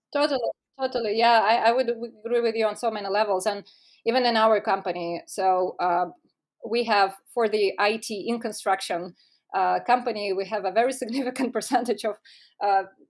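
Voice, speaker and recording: On a very clean recording with a silent background, a woman with a Russian accent speaks in a fairly high voice at a fairly quick pace, her intonation fairly even. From Russia (Moscow). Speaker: tech startup co-founder. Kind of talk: podcast interview. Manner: formal; halting.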